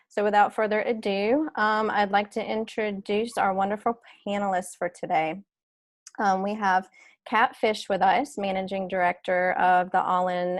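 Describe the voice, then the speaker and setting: A woman's medium-pitched voice in a Southern US accent, moderately paced with fairly even intonation, over a quiet background. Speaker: panel moderator. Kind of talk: webinar panel introduction. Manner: hesitant, many fillers.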